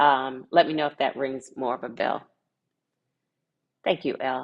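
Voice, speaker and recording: A woman with an American accent speaks in a very deep, low, monotone voice, leaving long, frequent pauses. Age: 50s. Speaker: tiny house educator and livestream host. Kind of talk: live stream Q&A chat. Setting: livestream with chat. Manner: hesitant, many fillers.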